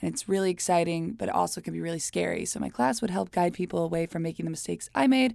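Speaking at a very fast pace in an American accent, a woman is heard on a very clean recording with a silent background. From Miami, Florida (Cuban community). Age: 20s. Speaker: podcast co-host, photographer. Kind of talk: casual chat. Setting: in a closet.

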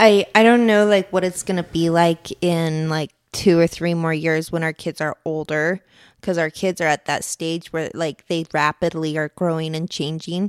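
An unremarkable speaking voice moves at a moderate pace with fairly even intonation, recorded very cleanly against a silent background with a dry, close sound and no echo. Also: woman, fairly low pitch for a woman. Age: 30s. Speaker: podcast co-host and mother. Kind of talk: casual chat. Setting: home podcast with spouse.

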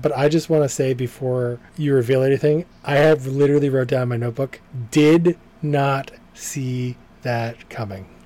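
Noticeable background noise sits behind this recording. A man talks at a moderate pace and medium pitch, with fairly even intonation. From Boston, US. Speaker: podcast co-host reviewing TV episodes. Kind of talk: casual chat.

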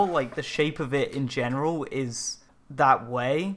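A man with an English accent speaks with lively intonation. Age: 20s. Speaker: podcast co-host. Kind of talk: casual chat.

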